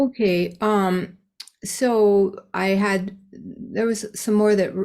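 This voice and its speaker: Over a very clean recording with a silent background, a woman speaks with fairly even intonation. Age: 60s. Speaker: singer sharing at a recovery meeting. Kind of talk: support group sharing. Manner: halting, many fillers.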